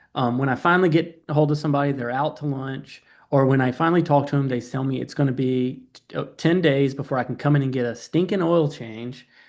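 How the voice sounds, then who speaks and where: A man with a Southern US accent and a fairly high voice rushes along at a very fast pace with fairly even intonation and hardly any pauses. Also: quiet background. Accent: Southern twang. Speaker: AI automation company founder, guest speaker. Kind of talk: webinar presentation. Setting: online webinar.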